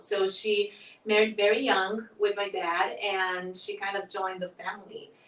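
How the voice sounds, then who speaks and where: With a Portuguese accent, a woman speaks at a fairly slow pace and medium pitch with fairly even intonation, over noticeable background noise. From southern Brazil. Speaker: nonprofit festival director. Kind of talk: interview conversation.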